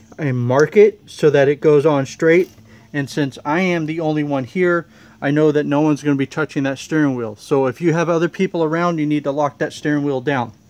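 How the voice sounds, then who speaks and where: His delivery moves at a fairly quick pace. The intonation remains fairly even throughout. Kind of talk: tutorial. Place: garage. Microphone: phone near.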